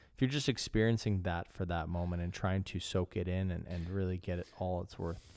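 A man speaks in a Canadian accent with a very deep, low voice and fairly even intonation, fairly quickly and with hardly any pauses. The recording is very clean, with a silent background. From Canada. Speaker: podcast host. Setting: studio.

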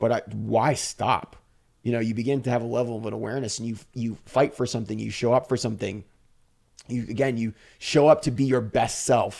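Medium-pitched male voice with vocal fry at a fairly quick pace. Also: fairly even intonation. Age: 50s. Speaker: fashion influencer and model. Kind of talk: casual interview.

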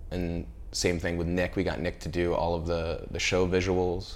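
In a very deep, low pitch, a man with an American accent speaks with audible room echo. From Central California. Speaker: art director. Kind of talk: interview. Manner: casual, many filler words.

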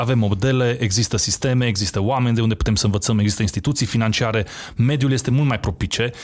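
In a very clean recording with a silent background, a man with an ordinary speaking voice talks at medium pitch with ordinary pitch variation. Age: 30s. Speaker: entrepreneur. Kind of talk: interview.

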